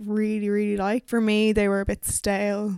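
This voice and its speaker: A woman with a Dublin accent speaks at a fairly high pitch. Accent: Dublin Irish. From Ireland. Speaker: music critic. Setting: video call.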